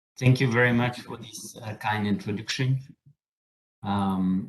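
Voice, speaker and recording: A man with a French accent in a fairly low pitch, at a fairly slow pace with ordinary pitch variation. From southern France. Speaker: solar energy researcher and professor. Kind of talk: lecture. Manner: halting, with many fillers.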